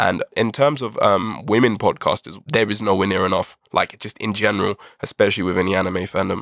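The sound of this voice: With a British accent and fairly even intonation, the speaker moves at a fairly quick pace on a very clean recording with a silent background and a dry, close sound with no echo. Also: man, fairly low pitch for a man, hardly any pauses.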